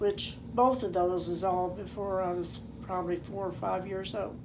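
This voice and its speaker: The speaker has an American accent and a fairly slow pace. Audible room echo surrounds the voice. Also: woman. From southeast Kansas. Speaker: elderly family member telling life story. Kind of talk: oral history interview. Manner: halting.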